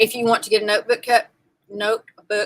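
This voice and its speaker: A woman's plain, everyday voice at medium pitch and moderate pace, dry and close with no echo. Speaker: quilt shop live sale presenter. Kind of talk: live shopping stream.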